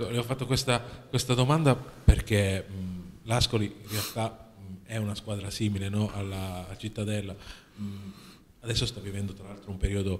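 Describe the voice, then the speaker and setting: A man speaks at a moderate pace with fairly even intonation. He leaves long, frequent pauses. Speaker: sports journalist. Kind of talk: press conference questions. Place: meeting room.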